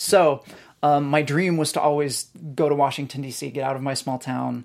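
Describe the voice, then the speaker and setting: With an American accent, a man speaks at a fairly high pitch and a moderate pace, with fairly even intonation. He has an unremarkable speaking voice, on a very clean recording with a silent background. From rural Northern California. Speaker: debut novelist. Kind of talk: interview. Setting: studio.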